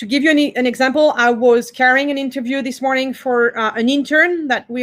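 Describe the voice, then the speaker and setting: A woman with a French accent speaks at a fairly quick pace. Her high voice keeps a fairly even intonation. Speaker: cultural institute director. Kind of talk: workshop talk. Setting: video call.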